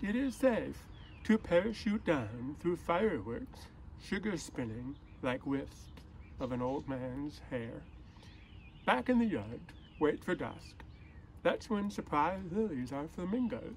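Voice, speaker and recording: Somewhat breathy and fairly high in pitch, a man speaks at a fairly slow pace with very wide pitch swings and long, frequent pauses over light background noise. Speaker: poet. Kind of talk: poem reading. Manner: measured, unhurried, lyrical delivery with image-by-image pacing. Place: street. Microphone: phone near.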